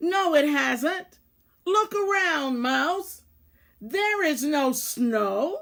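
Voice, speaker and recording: This is a put-on character voice with a growl. It goes at a very slow pace. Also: woman, high pitch for a woman. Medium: read story. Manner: stern, solemn.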